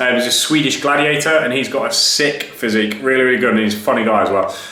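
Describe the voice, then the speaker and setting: Over noticeable background noise and audible room echo, a man with a fairly high pitch talks at a very fast pace. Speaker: fitness coach and gym owner. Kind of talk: live Q&A stream. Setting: Instagram live stream. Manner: casual, energetic.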